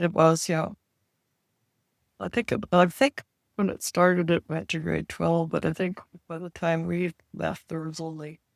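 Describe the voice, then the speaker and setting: A woman with a Canadian Prairie accent, fairly low pitch and fairly even intonation, at a moderate pace with long, frequent pauses and big swings in loudness, in a dry, close sound with no echo. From rural Saskatchewan, Canada. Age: 80s+. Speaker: retired farm wife. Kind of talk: interview answer.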